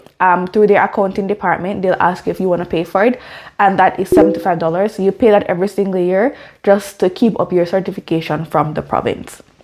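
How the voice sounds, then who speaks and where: Speaking at a very fast pace, a woman uses a medium pitch. Her intonation is fairly even. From Jamaica. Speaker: teacher and vlogger. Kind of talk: informational vlog.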